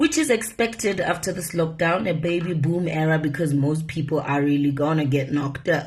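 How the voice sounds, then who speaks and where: Somewhat breathy woman's voice at a fairly low pitch, with ordinary pitch variation, a moderate pace and audible room echo. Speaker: media personality. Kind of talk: casual vlog monologue. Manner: animated.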